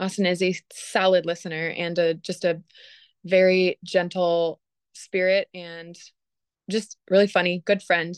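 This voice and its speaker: Against a quiet background, a woman with a fairly low voice speaks in an American accent at a fairly slow pace, her intonation monotone and flat. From Michigan. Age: 30s. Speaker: young widow and parent educator. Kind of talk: interview.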